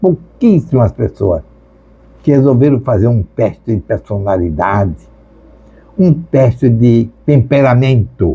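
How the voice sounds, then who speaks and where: A man's very slow, somewhat breathy voice with a dark, mellow tone, medium pitch, lively intonation and very even loudness. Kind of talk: sermon.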